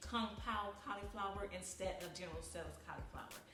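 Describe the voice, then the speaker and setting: With a Texan accent and monotone, flat intonation, a woman speaks amid noticeable background noise and audible room echo. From Texas. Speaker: author vlogger. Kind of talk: casual vlog while cooking. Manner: chatty, conversational.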